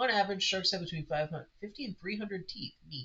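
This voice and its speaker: Speaking with an American accent, a man has a high pitch. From United States. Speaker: game master streaming campaign prep. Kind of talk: casual live stream thinking aloud. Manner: halting, self-interrupting.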